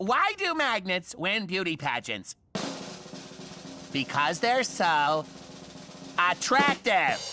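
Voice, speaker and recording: In a cartoonish character voice, the speaker goes at a fairly slow pace over clear music in the background. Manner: dry, matter-of-fact.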